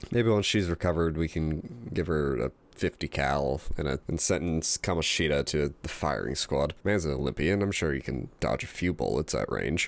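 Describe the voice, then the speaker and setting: A man's very deep, low voice with vocal fry, ordinary pitch variation, a moderate pace and hardly any pauses, on a very clean recording with a silent background. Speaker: gaming youtuber. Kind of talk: scripted game commentary. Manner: halting.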